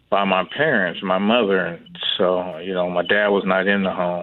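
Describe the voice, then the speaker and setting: A man with an American accent at a moderate pace. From US Pacific Northwest, Seattle. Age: 50s. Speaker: author, foster care survivor. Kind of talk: interview testimony. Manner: halting, many fillers.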